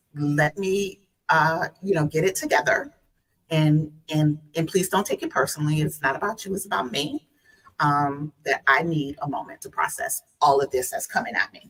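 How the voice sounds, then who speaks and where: With a Southern US accent, a woman speaks in a very deep, low pitch with ordinary pitch variation and big swings in loudness. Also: moderate pace. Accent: Southern US twang. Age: 50s. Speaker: guest. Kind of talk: casual chat.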